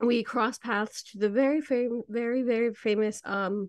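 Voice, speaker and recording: A woman's fairly high voice at a moderate pace, dry and close with no echo, over a quiet background. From Venezuela, raised in US, then Spain. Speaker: podcast host. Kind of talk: interview. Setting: podcast. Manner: animated.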